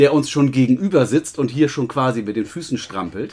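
A man's fairly high pitch at a fairly quick pace, an ordinary speaking voice. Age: middle-aged. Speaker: sports club podcast co-host. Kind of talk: casual chat. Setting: small room above the club office.

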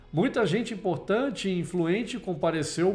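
A man with a high pitch and ordinary pitch variation talks over music in the background. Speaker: podcast host. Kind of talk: dramatic storytelling narration, reading a moral tale aloud as an auction scene. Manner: theatrical, building suspense with pauses and shifting voices for auctioneer and crowd; slow, solemn, emotional pacing toward the final twist.

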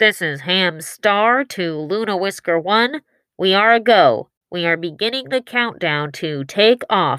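This woman talks at a fairly slow pace with a medium pitch. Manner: official, steady.

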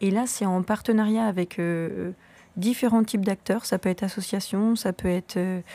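A woman's medium-pitched voice with a dark, mellow tone, fairly even intonation and very even loudness at a moderate pace, in a very clean recording with a silent background and a dry, close sound with no echo. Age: 30s. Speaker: shop co-founder. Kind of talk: casual interview.

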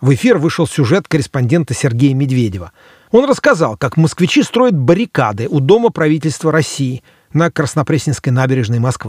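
Somewhat breathy and fairly high-pitched, a man talks at a moderate pace with very wide pitch swings. The recording is very clean with a silent background and a dry, close sound with no echo. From Moscow, Russia. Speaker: podcast host and author. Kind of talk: scripted narration.

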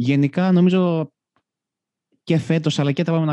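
A man's dark, mellow voice comes at a moderate pace, with a dry, close sound and no echo. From Greece, Karpenisi area. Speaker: football podcast host. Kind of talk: casual chat. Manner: halting, repeats words.

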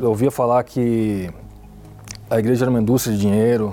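Against noticeable background noise, a man talks in a fairly low voice with fairly even intonation. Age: 30s. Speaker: sales representative. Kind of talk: testimony. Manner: halting.

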